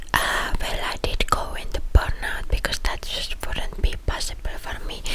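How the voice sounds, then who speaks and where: Whispered words come at a fairly slow pace. There is noticeable background noise. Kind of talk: ASMR rambling talk. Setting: close microphone.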